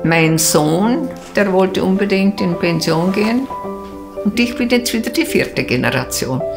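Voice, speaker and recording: A woman speaks at a fairly slow pace with very wide pitch swings. Clear music plays in the background. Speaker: photo shop owner. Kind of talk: interview answer. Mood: warm, cheerful, content. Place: home room. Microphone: lapel.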